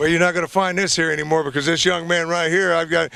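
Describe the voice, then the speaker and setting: A man talks at a very fast pace in a raised, projected voice. There is noticeable background noise. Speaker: infomercial host. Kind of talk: sales pitch. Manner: animated.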